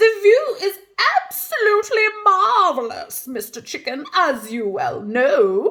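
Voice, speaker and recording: A female-sounding put-on character voice sits at an extremely high pitch. It moves at a fairly slow pace with very wide pitch swings. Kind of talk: posh, refined. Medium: read story.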